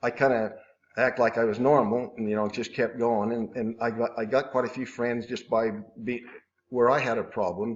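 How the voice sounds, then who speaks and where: A man speaks at a moderate pace with a medium pitch. His intonation is monotone and flat. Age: 60s. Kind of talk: interview answer. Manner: hesitant, halting.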